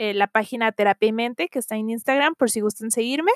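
A woman's plain, everyday voice, fairly high in pitch, with ordinary pitch variation and a dry, close sound free of echo. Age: 20s. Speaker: podcast host, psychology student. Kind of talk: casual monologue introduction.

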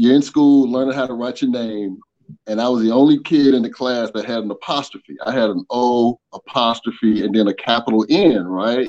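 Medium pitch from a man with an Atlanta accent, ordinary pitch variation and a moderate pace. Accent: Southern US (Atlanta). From US South, Atlanta, Georgia. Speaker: online community member, corporate manager. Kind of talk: interview, casual chat.

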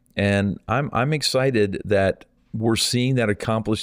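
Here a man speaks in an unremarkable speaking voice with a fairly low pitch. The recording is very clean, and the background silent. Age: 50s. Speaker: evangelist. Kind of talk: interview.

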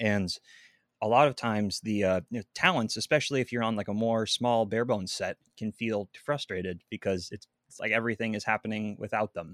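A man with a Pacific Northwest accent and a fairly low pitch, ordinary pitch variation and a fairly quick pace, in a very clean recording with a silent background and a dry, close sound with no echo. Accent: Pacific Northwest American. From Seattle, Washington. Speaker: videographer and audio engineer. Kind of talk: podcast interview. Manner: animated.

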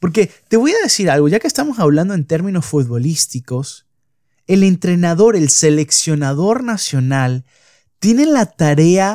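Dry, close sound with no echo around a man's dark, mellow tone. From Venezuela. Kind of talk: devotional podcast monologue. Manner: hesitant, many fillers and repetitions.

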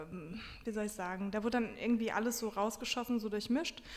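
An unremarkable speaking voice, female, moving at a moderate tempo. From Germany, Wiesbaden (Hesse). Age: 30s. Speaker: book blogger and journalist. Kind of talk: interview.

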